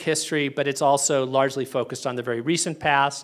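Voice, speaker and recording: Using a plain, everyday voice, a man with an American accent speaks at a fairly high pitch and a moderate pace. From USA. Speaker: history professor. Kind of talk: lecture.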